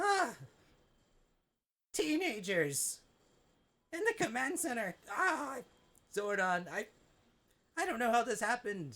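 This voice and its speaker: This is a put-on character voice, fairly high in pitch, with very wide pitch swings. It moves at a fairly slow pace, broken by long, frequent pauses. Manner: panicked, flustered.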